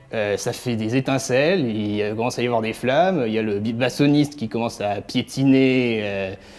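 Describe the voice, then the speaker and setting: Over music in the background, a man talks at a moderate pace and medium pitch with ordinary pitch variation. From France. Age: 20s. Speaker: cellist. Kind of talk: interview answers. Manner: hesitant, many fillers.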